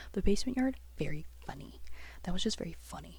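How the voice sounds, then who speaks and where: This speaker is soft-spoken. The pace is moderate. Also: woman. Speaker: artist, graphic designer. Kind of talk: soft-spoken ASMR chat while drawing.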